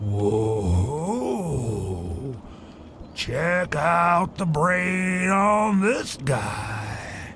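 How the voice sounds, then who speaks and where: Using a put-on character voice, a man with a high pitch talks at a very slow pace with long, frequent pauses over clear background noise. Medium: video game. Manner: rambling, forgetful.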